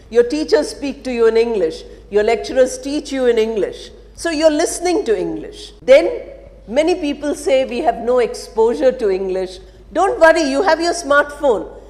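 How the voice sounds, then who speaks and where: A high-pitched woman at a moderate pace, her pitch swinging very widely amid noticeable background noise. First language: an Indian language other than Telugu. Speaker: English teacher. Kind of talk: lecture.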